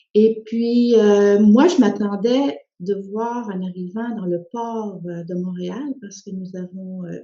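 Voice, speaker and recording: A woman talks at a very slow pace with hardly any pauses, her voice somewhat breathy, with ordinary pitch variation and big swings in loudness. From Quebec (came from Spain via France at six). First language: Spanish (speaking French). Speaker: social worker and author. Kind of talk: personal testimony. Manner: hesitant, many fillers.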